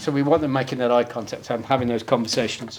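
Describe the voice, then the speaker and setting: With a Birmingham accent, a man talks at a very fast pace amid audible room echo. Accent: Brummie. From Birmingham, England. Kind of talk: conference presentation with live demo. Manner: casual, conversational.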